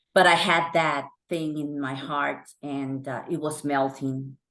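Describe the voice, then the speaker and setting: Against a quiet background, a woman speaks in a very deep, low pitch with fairly even intonation. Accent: Honduran. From Honduras. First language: Spanish. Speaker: actress. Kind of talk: interview.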